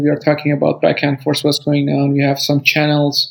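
A man speaks in a Persian accent. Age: 30s. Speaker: refugee. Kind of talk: interview testimony. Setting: video call.

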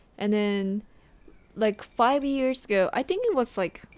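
A woman's fairly slow speech with lively intonation and long, frequent pauses. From Japan, Shiga Prefecture (Kansai). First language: Japanese. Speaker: podcast guest, host's girlfriend. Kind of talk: casual chat.

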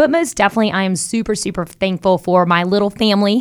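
Very fast pace from a woman with ordinary pitch variation. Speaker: real estate broker. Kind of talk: radio show advice chat.

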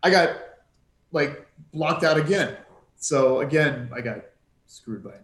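With audible room echo, a man at a fairly high pitch talks at a moderate pace, taking long, frequent pauses, his loudness swinging widely and his pitch varying in an ordinary way. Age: 30s. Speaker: retail stock trader. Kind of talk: casual chat. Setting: video call.

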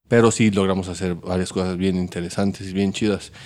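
Over a silent background in a very clean recording, a man talks at a fairly quick pace in a very deep, low pitch, with a dark, mellow tone and a monotone, flat intonation. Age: 40s. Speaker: restaurant owner and former video director. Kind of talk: casual interview. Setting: in his restaurant.

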